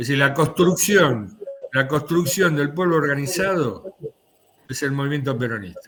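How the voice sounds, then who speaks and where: With an Argentine accent, the speaker talks at a fairly slow pace and in a lively intonation while music plays in the background. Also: man, fairly high pitch for a man. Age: 70s. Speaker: political commentator. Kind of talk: political discussion.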